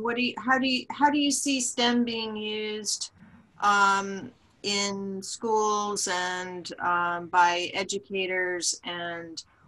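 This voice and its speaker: A woman with a medium pitch and ordinary pitch variation speaks in a bright, sharp tone. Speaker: community manager and webinar host; webinar host. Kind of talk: webinar moderation. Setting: video call. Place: home room. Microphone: video call.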